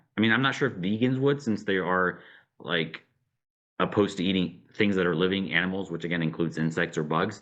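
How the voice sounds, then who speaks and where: His pitch moves up and down very widely. The man speaks at a moderate pace. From Romania. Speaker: nutrition professor. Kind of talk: interview. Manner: casual, with filler words.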